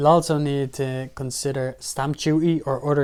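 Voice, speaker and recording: A man speaks in a fairly high pitch with an Irish accent. His intonation stays flat and monotone. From Ireland. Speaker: personal finance YouTuber. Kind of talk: tutorial.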